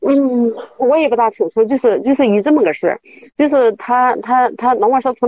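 Fairly quick delivery from a woman with a fairly high pitch. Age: 50s. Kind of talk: phone-in advice call. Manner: halting.

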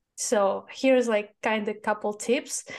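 Against a quiet background, a woman speaks with a Russian accent. Her pitch is fairly high and her pace fairly slow. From Russia, Moscow. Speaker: e-commerce agency founder. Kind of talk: interview.

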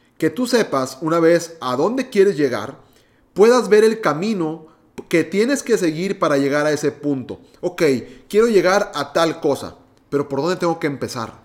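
The intonation is lively and the pace moderate. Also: man, high pitch for a man. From Mexico, Monterrey, Nuevo León. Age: 20s. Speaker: podcast host, entrepreneur. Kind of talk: solo podcast monologue.

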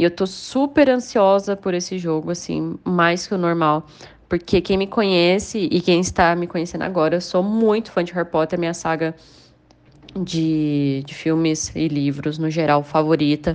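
A woman with a plain, everyday voice, fairly low in pitch, with ordinary pitch variation, a moderate pace and a quiet background. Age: 20s. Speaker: horror game streamer. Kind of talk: interview.

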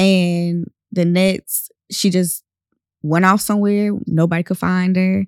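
With a monotone, flat intonation and very even loudness, a woman speaks very slowly in a dry, close sound with no echo, in a very clean recording with a silent background. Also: medium pitch for a woman. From North Carolina, US. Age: 20s. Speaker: guest, campaign participant. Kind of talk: casual interview chat.

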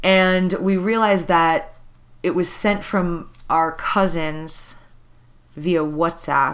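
In an American accent, a woman speaks at a very slow pace with fairly low pitch and fairly even intonation. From US Midwest. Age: 30s. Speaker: podcast co-host. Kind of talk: casual chat. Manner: loud.

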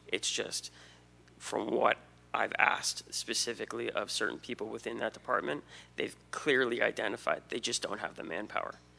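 A man whispers at a moderate pace. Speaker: resident speaking at public comment. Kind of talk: public comment. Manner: earnest, pleading.

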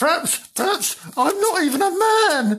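Someone uses a put-on character voice with very wide pitch swings. The pace is moderate. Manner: indignant, secretive, trying to sound mysterious.

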